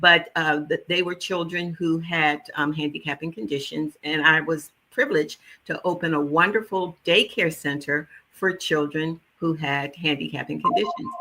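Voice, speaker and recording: The voice has a bright, sharp tone and an American accent. It moves at a moderate pace with ordinary pitch variation. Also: woman, fairly low pitch for a woman. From US Northeast, West Philadelphia. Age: 70s. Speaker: holistic nutritionist. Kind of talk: interview. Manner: animated.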